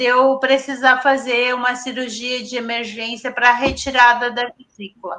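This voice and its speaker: A woman talks with a high pitch. Her pace is very slow. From Rio Grande do Sul interior, Brazil. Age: 60s. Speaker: person with multiple sclerosis sharing her story. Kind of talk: interview testimony. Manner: halting, with false starts.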